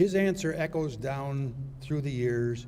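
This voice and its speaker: With audible room echo, a man speaks at a medium pitch with ordinary pitch variation and a somewhat breathy quality. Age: 80s+. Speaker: retired judge and law school founder. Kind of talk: commencement speech. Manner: formal.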